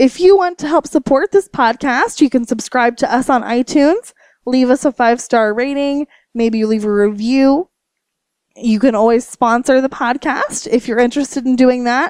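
High-pitched and at a moderate pace, a woman talks with ordinary pitch variation in a dry, close sound with no echo. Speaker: podcast host. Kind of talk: casual interview chat. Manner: casual, humorous.

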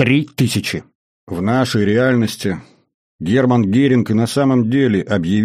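Over a quiet background comes plain reading aloud, its pitch varying in an ordinary way.

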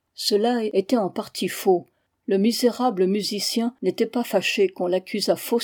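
Quiet background behind someone reading aloud in a natural voice

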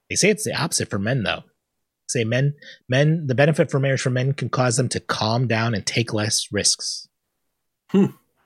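The speaker talks at a fairly quick pace with lively intonation and an animated tone, pausing long and often. The voice is somewhat breathy, with a dry, close sound and no echo. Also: man, medium pitch for a man. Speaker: podcast host. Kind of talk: casual banter on comedy podcast. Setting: live online show. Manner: joking, animated.

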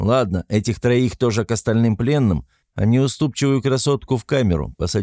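Over a quiet background comes plain reading aloud, its pitch varying in an ordinary way.

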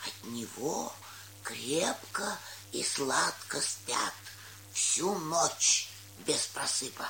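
Someone puts on a character voice at a very slow pace, with vocal fry and lively intonation. The tone is bright and sharp, with faint background noise behind it.

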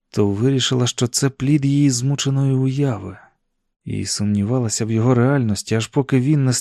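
Against a quiet background, the speaker gives a plain reading aloud.

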